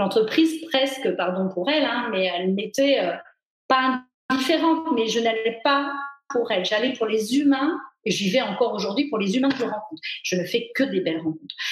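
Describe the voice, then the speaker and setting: A normal speaking voice from a woman, fairly high in pitch, at a moderate pace with lively intonation. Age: 40s. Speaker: personal development author and speaker. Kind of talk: casual interview. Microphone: unstable connection, video freezing.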